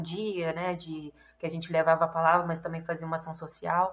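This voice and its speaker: At a moderate pace, the woman has an unremarkable speaking voice with a fairly low pitch. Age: 20s. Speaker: missionary. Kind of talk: interview.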